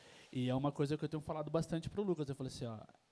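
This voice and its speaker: A man in a São Paulo accent, dark and mellow in tone, with ordinary pitch variation. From São Paulo, Brazil. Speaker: event host, interviewer. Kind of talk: live panel interview. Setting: tavern event with audience. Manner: hesitant, many fillers.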